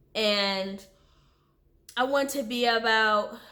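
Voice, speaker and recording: A woman speaks at a fairly high pitch with ordinary pitch variation. Audible room echo surrounds her voice. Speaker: vlogger. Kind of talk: casual chat. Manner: halting.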